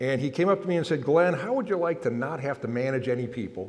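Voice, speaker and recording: Noticeable background noise and audible room echo surround a man whose fairly high voice carries lively intonation. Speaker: innovation executive and keynote speaker. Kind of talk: keynote speech. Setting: conference stage with audience. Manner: loud. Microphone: microphone held far away.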